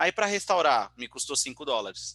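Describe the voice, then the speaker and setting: Here a man speaks at a fairly quick pace with a bright, sharp tone and ordinary pitch variation. The recording is very clean, with a silent background and a dry, close sound with no echo. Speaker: tech company presenter. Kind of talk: technical presentation. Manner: fast.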